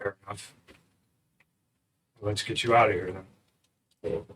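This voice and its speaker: A man's put-on character voice, resonant and fairly low in pitch, at a moderate pace. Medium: actual play. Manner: terse, earnest.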